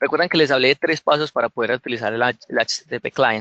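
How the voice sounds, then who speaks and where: A man's fairly high, bright, sharp voice with ordinary pitch variation, in a dry, close sound with no echo. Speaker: software developer giving a tech talk. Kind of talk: tutorial. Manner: fast.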